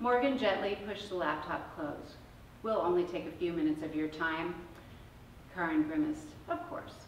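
At a moderate pace, a woman speaks with audible room echo and light background noise. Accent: American. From Indiana, Indianapolis; Indiana. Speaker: novelist. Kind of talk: reading aloud. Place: shop. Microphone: camera far.

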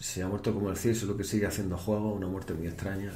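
A man speaks with a fairly low pitch. Light background noise and audible room echo are present. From Spain. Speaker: Twitch streamer. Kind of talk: live stream chat. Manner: animated. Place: home room.

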